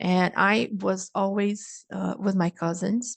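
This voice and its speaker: The speaker has a Brazilian accent and talks at a fairly slow pace with fairly even intonation. The sound is dry and close with no echo, against a quiet background. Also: woman. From Brazil, Niterói (Rio de Janeiro). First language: Brazilian Portuguese. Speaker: speaker at a cultural event. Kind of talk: online presentation. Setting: live online stream.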